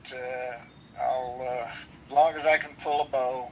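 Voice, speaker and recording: Noticeable background noise sits under this recording of a man. His intonation is monotone and flat. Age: 80s+. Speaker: veteran bowhunter. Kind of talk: casual interview chat. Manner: halting.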